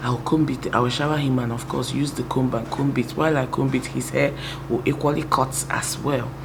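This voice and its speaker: At a moderate pace, the speech comes with audible room echo and noticeable background noise. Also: woman. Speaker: YouTuber. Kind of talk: testimony. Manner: soft-spoken.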